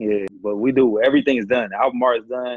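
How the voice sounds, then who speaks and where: A man's voice at a medium pitch. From Detroit, US Midwest. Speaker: rapper and R&B singer. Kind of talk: casual chat.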